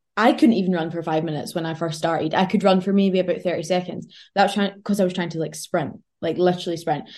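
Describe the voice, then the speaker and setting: A woman's dark, mellow voice at a medium pitch, over a quiet background. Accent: Scottish. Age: 20s. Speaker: university student and fitness influencer. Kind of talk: casual chat. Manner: animated.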